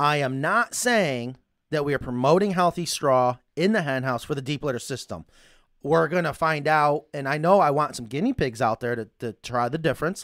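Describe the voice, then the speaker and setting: Lively intonation comes through a dry, close sound with no echo on a very clean recording with a silent background. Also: man, fairly high pitch for a man. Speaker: chicken coop business owner and show host. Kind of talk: live show, casual chat. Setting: studio, live stream. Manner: fast talker.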